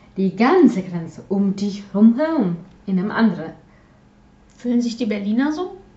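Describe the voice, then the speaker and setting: A woman with a Polish accent speaks at a moderate pace with lively intonation and long, frequent pauses. Noticeable background noise runs underneath. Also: medium pitch for a woman. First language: Polish (speaking German). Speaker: podcast co-host, hobby artist. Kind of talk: casual chat. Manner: halting, many fillers and repetitions.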